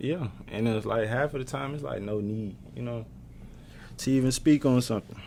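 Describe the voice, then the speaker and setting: Soft-spoken and at a medium pitch, a man talks at a moderate pace with a dark, mellow tone and lively intonation. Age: 20s. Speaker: college basketball player. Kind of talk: casual chat. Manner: quiet.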